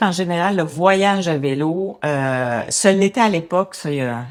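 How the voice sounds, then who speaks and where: Lively intonation moves through a woman's very deep, low voice. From Quebec, Montreal area. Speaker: cycling advocate. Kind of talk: interview. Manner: halting.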